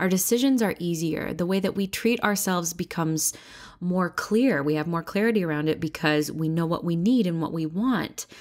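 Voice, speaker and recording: A woman at a fairly quick pace and fairly low pitch, with ordinary pitch variation, on a very clean recording with a silent background. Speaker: podcast host and singer-songwriter. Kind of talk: solo podcast talk. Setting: home office. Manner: animated.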